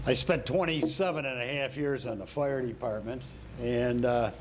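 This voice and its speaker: With a Chicago-area accent, a man talks at a moderate pace and medium pitch. His pitch variation is ordinary, and audible room echo is present. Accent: Chicago-area Midwestern American. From Waukegan, Illinois. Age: 70s. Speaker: retired firefighter, public commenter. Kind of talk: public comment at council meeting.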